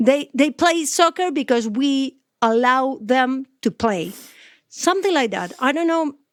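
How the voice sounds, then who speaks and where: A woman speaks with a Spanish accent in a high pitch and lively intonation. The recording is very clean, with a silent background. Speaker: sports journalist. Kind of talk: podcast interview. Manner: halting.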